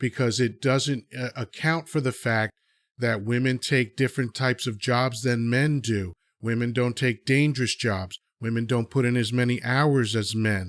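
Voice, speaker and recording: A man's medium-pitched, plain, everyday voice with fairly even intonation at a moderate pace, a very clean recording with a silent background, and a dry, close sound with no echo. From USA (born in Dominican Republic, moved at age two). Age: 50s. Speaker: podcast host. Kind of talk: opinionated discussion. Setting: live audio chat app.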